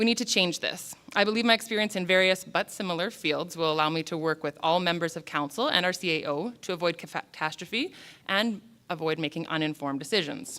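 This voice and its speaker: A woman speaks with a Canadian accent at a fairly low pitch, her tone bright and sharp. Her pace is fairly quick and her pitch variation ordinary. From southern Alberta, Canada (Lethbridge). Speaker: council candidate. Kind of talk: candidate speech at public forum. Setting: public forum with audience. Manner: fast.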